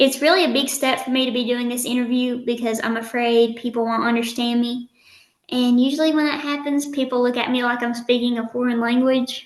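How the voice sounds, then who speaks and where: A woman with a strong Southern US accent talks at a fairly quick pace in a high pitch with monotone, flat intonation. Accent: strong country Southern. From Eastern Kentucky. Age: 20s. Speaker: nursing student and social media influencer. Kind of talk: podcast interview.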